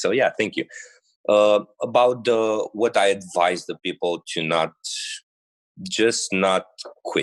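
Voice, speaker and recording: Speaking at a fairly slow pace, a man with a Romanian accent comes through in a dry, close sound with no echo. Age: 20s. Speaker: bodybuilder. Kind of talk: podcast interview. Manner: halting.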